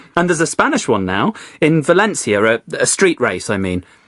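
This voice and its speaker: Fairly quick speech in a London accent. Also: man. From Spain, then London from age 10. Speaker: guest on English-learning podcast, works in family book business. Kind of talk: casual chat. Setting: studio.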